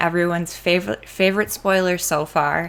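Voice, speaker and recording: A woman with a Wisconsin accent at a moderate pace. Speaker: trading card content creator. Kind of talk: card spoiler review, casual video. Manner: enthusiastic.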